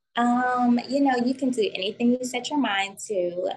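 A plain, everyday voice from a woman, fairly slow, with ordinary pitch variation. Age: 20s. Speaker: esthetician and spa owner. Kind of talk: casual interview.

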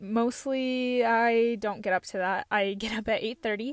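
A woman talks in a plain, everyday voice, fairly high in pitch with ordinary pitch variation. Her pace is fairly slow, on a very clean recording with a silent background. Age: 20s. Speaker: podcast host. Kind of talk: casual monologue.

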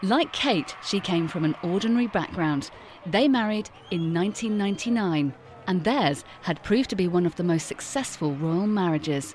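A normal speaking voice from a woman, medium in pitch with lively intonation at a moderate pace. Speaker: documentary narrator. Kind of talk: scripted narration.

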